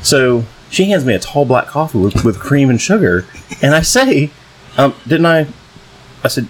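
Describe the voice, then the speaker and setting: Noticeable background noise sits behind a man who talks at a moderate pace with a fairly high pitch, lively intonation, very even loudness, and long, frequent pauses. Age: 30s. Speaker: podcast co-host. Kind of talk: casual chat.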